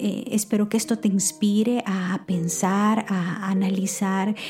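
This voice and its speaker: A woman's warm tone at medium pitch, fairly slow in pace, with noticeable background noise. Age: 40s. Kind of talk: devotional talk. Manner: warm, intimate; hesitant with fillers.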